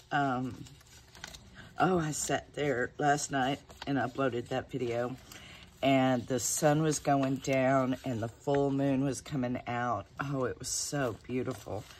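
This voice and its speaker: A woman's very deep, low voice in a Southern US accent, very slow and relaxed in tone, with fairly even intonation. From Texas. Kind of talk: casual chat. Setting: home, talking to camera. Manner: chatty, relaxed.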